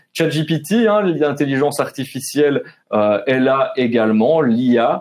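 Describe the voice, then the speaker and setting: A man talks at a fairly slow pace with a medium pitch. His intonation is lively. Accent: Belgian Ardennes. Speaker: webinar host. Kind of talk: webinar moderation. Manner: casual, many fillers.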